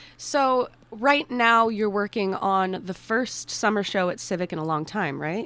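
Over noticeable background noise, a woman talks at a fairly slow pace with lively intonation and hardly any pauses. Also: medium pitch for a woman. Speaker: guest co-host, theater student. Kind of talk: radio interview. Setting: radio studio.

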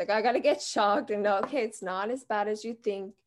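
A woman with a fairly high pitch and fairly even intonation at a very fast pace, over a quiet background. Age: 20s. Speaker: heart disease patient and nonprofit co-founder. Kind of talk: interview.

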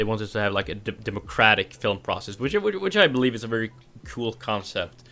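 In a Norwegian accent, a man speaks very fast at a medium pitch with a bright, sharp tone. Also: ordinary pitch variation. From Norway; southern Norway. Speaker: film podcast host. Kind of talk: casual film review chat. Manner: laughs often, rambling.

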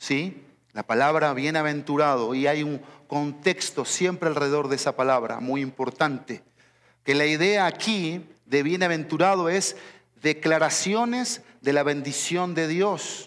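Fairly high in pitch, a man speaks at a fairly slow pace. His pitch variation is ordinary. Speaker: pastor. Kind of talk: sermon. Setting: church. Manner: animated, emphatic preaching, driving each point home with repetition; didactic, teacherly.

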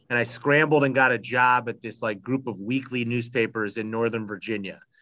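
At a moderate pace, an ordinary speaking voice delivers its words with fairly even intonation. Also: man. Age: 30s. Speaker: sports columnist. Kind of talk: casual interview.

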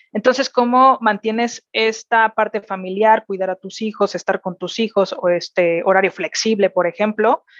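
The speaker has a Mexican accent and keeps a moderate pace with hardly any pauses. Intonation stays fairly even, and the sound is dry and close with no echo. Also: woman, fairly high pitch for a woman. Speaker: corporate executive. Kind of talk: interview. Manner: hesitant, many fillers and repetitions.

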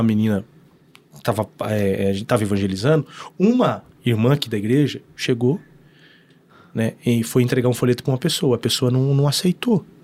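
At a fairly quick pace, a man with a medium pitch talks, breaking often into long pauses. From northern Paraná, Brazil (Norte Pioneiro). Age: 30s. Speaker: pastor. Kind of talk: casual chat.

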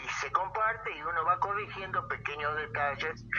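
Noticeable noise runs in the background. Over it, a man talks at a moderate speed. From Argentina, Buenos Aires province (Moreno). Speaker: poet and poetry teacher. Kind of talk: interview.

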